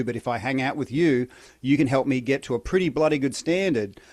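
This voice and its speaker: In an Australian accent, a man speaks on a very clean recording with a silent background. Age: 50s. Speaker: breathwork and recovery coach, former soldier. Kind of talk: podcast interview.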